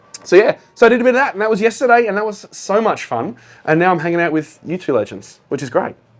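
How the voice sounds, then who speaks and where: With an Australian accent, a man talks at a very fast pace in a high pitch, his intonation lively. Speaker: accountant and business founder. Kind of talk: casual interview chat.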